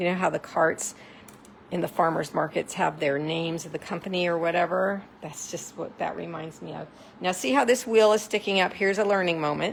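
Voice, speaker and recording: This woman talks at a fairly quick pace, her pitch medium and its variation ordinary. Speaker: craft demonstrator. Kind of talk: live craft tutorial. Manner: animated.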